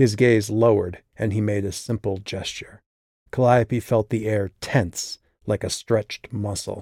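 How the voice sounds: Fairly even intonation runs through a natural reading voice. Little sound intrudes from the quiet background.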